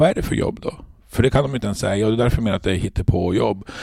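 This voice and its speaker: A medium-pitched man's voice, dark and mellow in tone, with lively intonation. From Norrbotten, Sweden (Luleå). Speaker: trade union leader. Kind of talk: interview.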